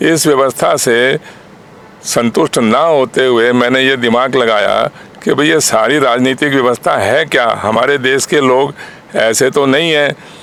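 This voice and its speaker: Noticeable background noise behind a fairly even intonation. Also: man, very even loudness. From Haryana, India (Bhiwani district). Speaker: party founder, politician. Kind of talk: interview.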